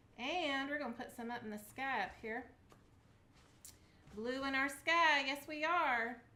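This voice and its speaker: In a Southern US accent, a woman with a high pitch speaks at a fairly slow pace in a raised, projected voice with a bright, sharp, upbeat tone, ordinary pitch variation and long, frequent pauses. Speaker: craft video host. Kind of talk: casual craft tutorial to camera. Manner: chatty, upbeat.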